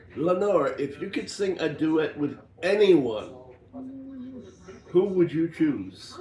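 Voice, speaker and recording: Speaking at a very slow pace with long, frequent pauses, a man uses a high pitch and ordinary pitch variation against noticeable background noise. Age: 60s. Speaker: diamond painting channel co-host. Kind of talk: casual chat.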